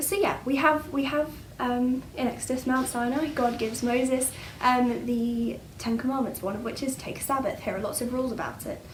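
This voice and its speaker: A woman's high-pitched voice with an English accent, fairly even intonation and a moderate pace, with audible room echo and noticeable background noise. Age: 20s. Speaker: church speaker. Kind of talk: bible talk. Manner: hesitant, many fillers.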